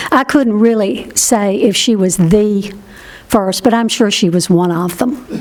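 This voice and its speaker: The speech has ordinary pitch variation and a fairly slow pace. Noticeable background noise is present. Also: woman. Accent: American. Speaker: historian. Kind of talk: q and a.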